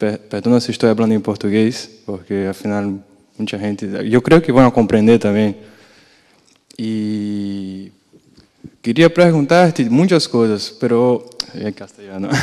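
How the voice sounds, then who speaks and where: A man with a fairly low pitch and a dark, mellow tone speaks at a fairly slow pace with long, frequent pauses. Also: ordinary pitch variation, quiet background. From Brazil. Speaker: audience member. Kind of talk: question from audience. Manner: halting. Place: hall.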